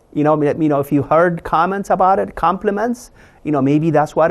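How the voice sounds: A man talks at a fairly high pitch with vocal fry. His pace is moderate.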